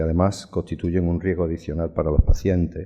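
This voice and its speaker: Quiet background, dark and mellow tone. The speech moves at a fairly quick pace with fairly even intonation. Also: man. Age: 60s. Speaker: surgeon turned health manager. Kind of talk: conference talk. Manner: reading from notes.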